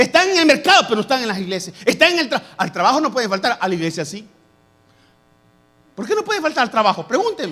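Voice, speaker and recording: Extremely high in pitch, a man speaks very fast in a raised, projected voice with a bright, sharp tone and very wide pitch swings. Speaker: pastor. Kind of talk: sermon.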